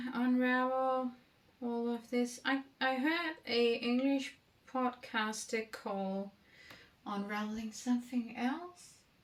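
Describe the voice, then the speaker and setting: A woman with a Danish accent speaks very slowly at a high pitch. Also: fairly even intonation. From Denmark. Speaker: knitting vlogger. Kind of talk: casual vlog talk. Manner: halting, many fillers.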